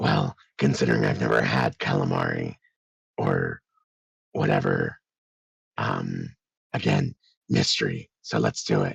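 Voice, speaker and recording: A raspy put-on character voice at a fairly slow pace, with long, frequent pauses and very even loudness. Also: man. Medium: actual play. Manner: blunt, simple.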